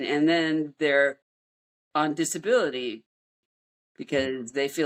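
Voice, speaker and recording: A woman speaks at a very slow pace. Her pitch sits very deep and low. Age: 60s. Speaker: fitness enthusiast and runner. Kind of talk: interview answer.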